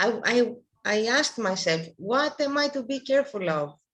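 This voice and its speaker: A woman speaks with a non-native accent and a high pitch. Her intonation is lively. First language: not English. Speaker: workshop participant. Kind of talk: question in online workshop. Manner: halting.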